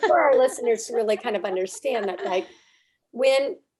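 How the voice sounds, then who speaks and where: A woman's voice swings very widely in pitch. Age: 50s. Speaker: podcast host. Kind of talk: casual interview conversation.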